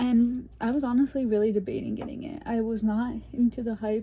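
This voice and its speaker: This woman has a dark, mellow tone at a fairly high pitch. Her voice is somewhat breathy, with ordinary pitch variation. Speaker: gaming YouTuber. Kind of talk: casual chat. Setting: home, filming on bed.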